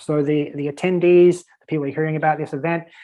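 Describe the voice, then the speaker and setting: A man with an Australian accent speaks at a fairly high pitch with fairly even intonation. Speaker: virtual event strategist. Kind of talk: podcast interview. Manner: casual, filler-heavy.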